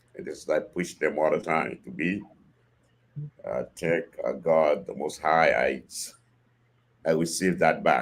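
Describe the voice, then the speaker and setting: A man with a Haitian accent at a fairly slow pace, with long, frequent pauses. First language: Haitian Creole or French. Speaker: father of the host's guest. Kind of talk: podcast interview. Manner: halting.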